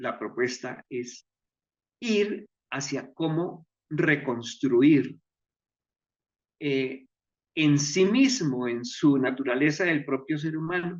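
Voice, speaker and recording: A man with a fairly high pitch speaks at a very slow pace, with ordinary pitch variation and long, frequent pauses. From Colombia, Pamplona (Norte de Santander). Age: 70s. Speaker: choreographer and stage director. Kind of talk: interview. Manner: halting, with many fillers.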